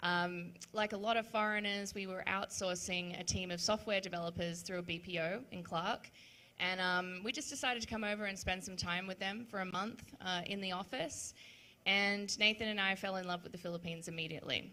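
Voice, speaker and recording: A woman's bright, sharp voice at a medium pitch, fairly quick, with an Australian accent and fairly even intonation. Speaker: web3 event organizer. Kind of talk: panel discussion.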